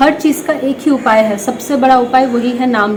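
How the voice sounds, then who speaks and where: Room echo is audible, noticeable background noise runs underneath, and the intonation stays fairly even. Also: woman. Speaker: devotional content creator answering viewer questions. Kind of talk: religious Q&A talk.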